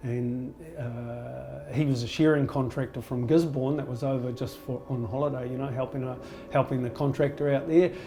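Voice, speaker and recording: In a New Zealand accent, a man speaks at a fairly quick pace and medium pitch with monotone, flat intonation over noticeable background noise. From rural New Zealand. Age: 60s. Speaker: yoga teacher. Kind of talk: interview. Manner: halting, with fillers and repetitions.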